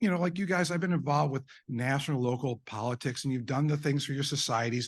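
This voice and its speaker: The speaker's tone is animated and very fast, with ordinary pitch variation. Loudness stays very even against a quiet background. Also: man, fairly high pitch for a man. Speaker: eye surgeon presenting at a medical conference. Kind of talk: conference presentation.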